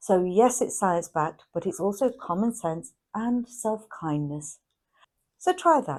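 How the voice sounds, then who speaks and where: Lively intonation marks an ordinary speaking voice. The recording is very clean, with a silent background. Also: woman. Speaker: chronic illness educator. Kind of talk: educational talk to camera.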